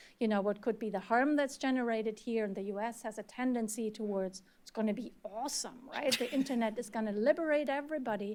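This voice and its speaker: In a German accent, a woman with a fairly high pitch talks at a very fast pace with ordinary pitch variation. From Germany. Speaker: researcher and former journalist. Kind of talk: panel discussion.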